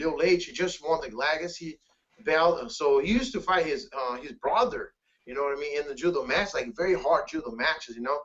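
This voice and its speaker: A high-pitched male voice with lively intonation at a fairly quick pace. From Brazil. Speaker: grappling champion. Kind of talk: interview. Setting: video call.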